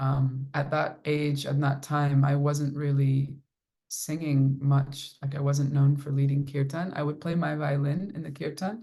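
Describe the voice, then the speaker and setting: A woman speaks fairly slowly at a very deep, low pitch, monotone and flat. Her tone is dark, mellow and somewhat breathy. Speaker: kirtan singer and violinist. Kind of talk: casual talk with supporters, answering questions. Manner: warm, conversational with fillers.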